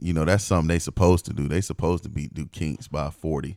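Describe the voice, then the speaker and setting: In a dry, close recording with no echo, a man speaks with a very deep, low pitch, ordinary pitch variation and vocal fry. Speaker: podcast co-host. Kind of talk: casual banter about sports. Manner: casual, slangy.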